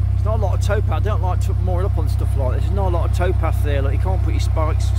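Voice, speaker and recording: A man's voice in a dry sound with no echo, set against loud background noise. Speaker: narrowboat vlogger. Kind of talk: casual vlog chat. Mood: relaxed, content. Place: boat.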